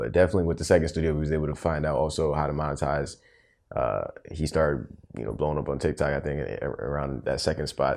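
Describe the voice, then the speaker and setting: At a very fast pace, a man with a very deep, low voice and vocal fry speaks with fairly even intonation. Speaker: podcast co-host. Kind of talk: casual chat. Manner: loud.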